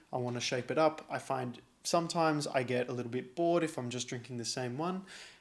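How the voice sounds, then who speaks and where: Speaking at a very fast pace in an Australian accent, a man keeps a medium pitch with ordinary pitch variation. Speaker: coffee youtuber. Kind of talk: casual chat.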